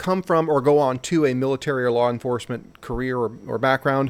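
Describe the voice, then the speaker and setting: On a very clean recording with a silent background, someone with a Midwestern American accent speaks at a fairly quick pace with fairly even intonation. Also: man. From Missouri, St. Louis. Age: 40s. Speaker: leadership school instructor and aerospace engineer. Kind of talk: casual interview chat.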